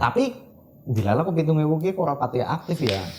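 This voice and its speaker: Noticeable background noise sits under the recording. Over it, a man speaks at a fairly quick pace. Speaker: printing business owner, CEO. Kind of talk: interview answer.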